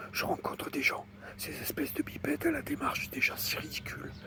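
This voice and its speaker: Noticeable background noise behind a man's whisper at a moderate pace. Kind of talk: ASMR whispered reading. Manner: whispered.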